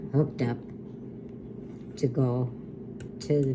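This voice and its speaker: A woman talks at a very slow pace in a very deep, low pitch. Her intonation is monotone and flat, with noticeable background noise. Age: 80s+. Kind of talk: reminiscing conversation with family.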